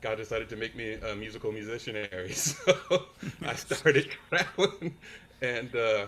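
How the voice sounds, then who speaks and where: A man with an American accent speaks in a normal speaking voice at medium pitch and a moderate pace, with lively intonation and big swings in loudness. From California, San Francisco Bay Area. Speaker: worship musician. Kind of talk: casual interview chat.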